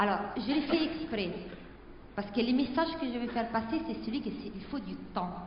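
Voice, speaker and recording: Noticeable background noise and audible room echo surround a woman who speaks in an Italian accent with ordinary pitch variation. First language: Italian (speaking French). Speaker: panel guest. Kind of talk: panel debate. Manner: slow, deliberate.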